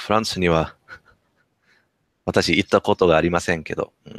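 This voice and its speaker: The man's voice is very deep and low, at a moderate pace. The sound is dry with no echo, and the background is quiet. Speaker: Japanese learner, channel host. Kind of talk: casual interview questions. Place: home room. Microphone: headset.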